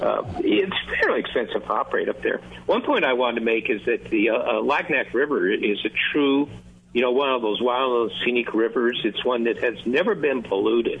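A man's voice at a moderate pace over noticeable background noise. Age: 70s. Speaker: fishing lodge owner. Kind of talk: casual chat.

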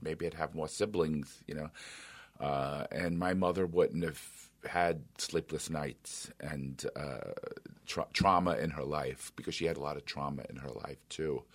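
A man's very deep, low voice with vocal fry, an American accent and a fairly slow pace. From New York City. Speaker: radio show host. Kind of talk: interview. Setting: radio studio.

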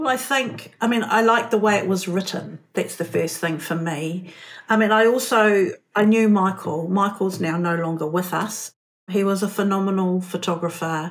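A woman with a New Zealand accent talks at a medium pitch and a moderate pace. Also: ordinary pitch variation. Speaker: art curator and writer. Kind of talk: interview conversation.

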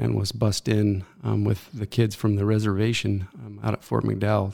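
On a very clean recording with a silent background, a man speaks. He has an American accent and a moderate pace. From Arizona, US (Mesa). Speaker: writer. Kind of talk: interview.

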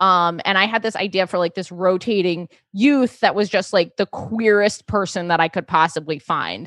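A woman with an American accent and a plain, everyday voice, medium in pitch with ordinary pitch variation, at a moderate pace with hardly any pauses, in a dry, close sound with no echo against a quiet background. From New York City. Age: 30s. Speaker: comedian. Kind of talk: casual chat.

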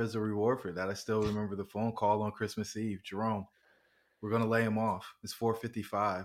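At a fairly quick pace, a man with a plain, everyday voice talks in a fairly low pitch with fairly even intonation. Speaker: podcast host and real estate investor. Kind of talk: interview chat. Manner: casual, jovial.

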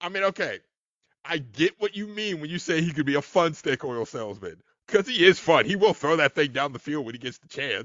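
An ordinary speaking voice from a man with a fairly high pitch, lively intonation and big swings in loudness. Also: fairly quick pace. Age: 30s. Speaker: podcast guest. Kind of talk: casual chat.

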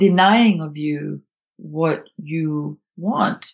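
With lively intonation, a woman speaks in a somewhat breathy voice. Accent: Swedish. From Sweden. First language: Swedish. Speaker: author and nonviolent communication trainer. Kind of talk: casual interview conversation. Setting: remote call.

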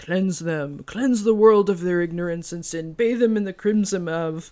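Using a put-on character voice, a female-sounding speaker talks at a moderate pace with a medium pitch and a resonant sound. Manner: incantation, ominous.

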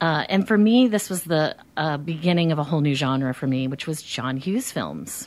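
Lively in intonation with hardly any pauses, a woman speaks in a very deep, low pitch with an American accent. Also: moderate pace. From New Jersey. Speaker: podcast guest, movie fan. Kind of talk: casual chat. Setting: studio.

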